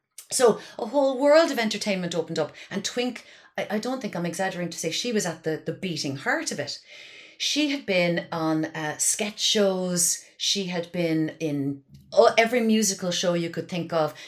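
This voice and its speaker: In a Cork accent, a woman talks at a moderate pace. Her intonation is lively. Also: medium pitch for a woman. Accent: Cork Irish. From Ireland, Kinsale, County Cork. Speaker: comedian and writer. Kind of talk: casual chat. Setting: remote, at her mother's house.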